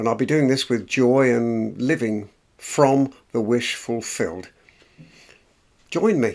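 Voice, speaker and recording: A man's medium-pitched voice with an English accent, very slow pace, long and frequent pauses, and ordinary pitch variation. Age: 70s. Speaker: motivational vlogger. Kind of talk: personal vlog monologue. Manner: unscripted, hesitant.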